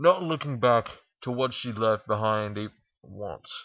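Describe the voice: At a fairly slow pace, a man speaks. His pitch varies in an ordinary way.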